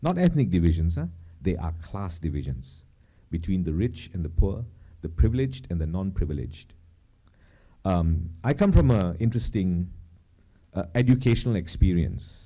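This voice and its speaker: Speaking at a moderate pace with lively intonation, a man with a very deep, low pitch and a dark, mellow tone sounds somewhat breathy and leaves long, frequent pauses. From Malaysia. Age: 50s. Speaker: cultural commentator. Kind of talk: public talk. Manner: halting, many fillers.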